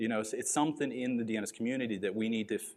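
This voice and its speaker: This man talks at a very fast pace. His voice has a medium pitch. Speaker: conference speaker. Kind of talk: conference Q&A.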